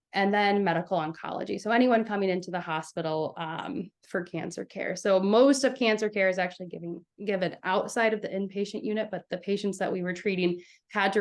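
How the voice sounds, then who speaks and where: Speaking at a fairly quick pace, a woman uses a medium pitch with ordinary pitch variation. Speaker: nurse and doctoral student. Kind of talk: interview. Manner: fast.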